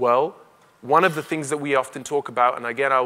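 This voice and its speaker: A bright, sharp tone comes through at a very fast pace with fairly even intonation. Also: man. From Kenya, then North West London from childhood. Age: 30s. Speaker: barrister and broadcaster, keynote speaker. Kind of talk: keynote speech.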